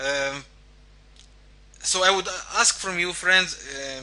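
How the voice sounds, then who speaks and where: With noticeable background noise behind him, a man with a non-native accent speaks at a fairly slow pace in a high voice with lively intonation. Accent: foreign accent in English. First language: not English. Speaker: forex trading coach. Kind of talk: online lecture. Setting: live online webinar. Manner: hesitant, many fillers.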